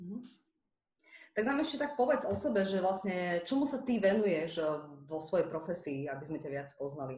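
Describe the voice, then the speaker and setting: The voice moves at a moderate pace while its pitch swings very widely. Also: woman, medium pitch for a woman. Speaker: podcast host. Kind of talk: casual interview.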